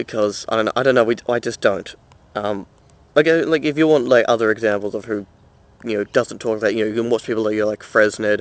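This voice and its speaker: Over a quiet background, a man with a slight Australian accent speaks at a very fast pace and medium pitch, with ordinary pitch variation. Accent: mild Australian, mistaken for English. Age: young. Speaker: vlogger and film student. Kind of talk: casual vlog. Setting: outdoors. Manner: many fillers, halting.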